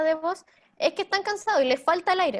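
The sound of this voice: With lively intonation, a woman speaks at a fairly quick pace.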